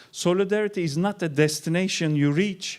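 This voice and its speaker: In a very clean recording with a silent background, a man with a Turkish accent speaks at a moderate pace. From Turkey. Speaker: keynote speaker, researcher. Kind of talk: keynote lecture. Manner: animated.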